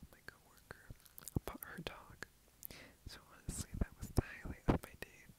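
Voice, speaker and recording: Whispering in a gentle tone, a man speaks at a fairly slow pace. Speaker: roleplay boyfriend. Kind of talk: boyfriend role-play ASMR comfort talk. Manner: soft, gentle, whispered.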